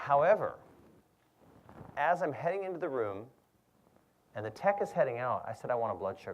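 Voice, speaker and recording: An animated, fairly high-pitched man with vocal fry, very wide pitch swings and a fairly quick pace. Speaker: physician giving health talk. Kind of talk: lecture. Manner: animated, conversational. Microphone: too close to the mic, adjusted.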